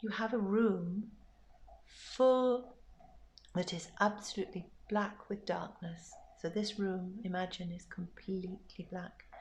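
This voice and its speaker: Somewhat breathy and fairly slow, a woman speaks at a medium pitch with fairly even intonation and long, frequent pauses. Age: 60s. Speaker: bereaved mother sharing grief reflections. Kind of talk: personal reflective monologue.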